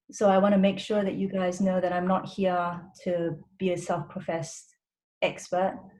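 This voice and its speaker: The voice has a dark, mellow tone, is somewhat breathy, and keeps a monotone, flat intonation at a moderate pace. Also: woman, medium pitch for a woman. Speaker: doctor. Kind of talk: webinar presentation.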